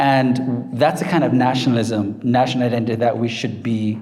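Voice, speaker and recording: A man with a Jamaican accent and a confident tone, at a moderate pace with fairly even intonation, amid audible room echo and noticeable background noise. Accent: Jamaican accent, kept. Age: 50s. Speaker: professor. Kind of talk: book talk Q&A. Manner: confident, emphatic.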